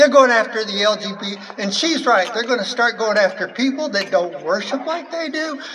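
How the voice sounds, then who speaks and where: A woman's high voice at a moderate pace, with very wide pitch swings, noticeable background noise and audible room echo. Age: 70s. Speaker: activist speaker. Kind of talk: rally speech. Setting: outdoor rally with crowd. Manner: halting.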